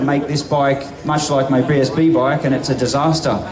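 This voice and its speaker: With an Australian accent, a man talks at a fairly quick pace in a fairly high pitch and fairly even intonation. The recording has audible room echo and noticeable background noise. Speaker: motorcycle road racer. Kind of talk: live interview on stage. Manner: fast, with frequent fillers and repeats.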